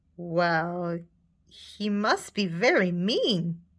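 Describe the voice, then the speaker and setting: A woman performs a put-on character voice. Her pitch sits fairly low. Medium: read story. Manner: confident, barking.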